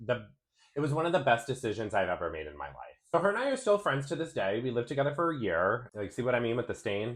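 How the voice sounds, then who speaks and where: A man's animated voice with an American accent, medium in pitch with very wide swings and vocal fry, at a very fast pace. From Rhode Island, US. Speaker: beauty vlogger. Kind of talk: casual vlog chat and product review.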